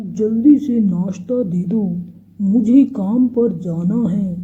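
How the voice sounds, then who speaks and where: Delivered at a very slow pace, this is a cartoonish character voice. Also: woman, medium pitch for a woman. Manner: humble, worried.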